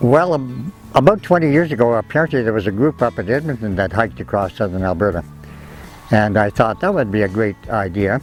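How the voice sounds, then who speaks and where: Over music in the background, a man with a fairly low pitch talks at a fairly quick pace with very wide pitch swings. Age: 80s+. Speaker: naturalist. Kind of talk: interview answer. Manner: reflective, conversational.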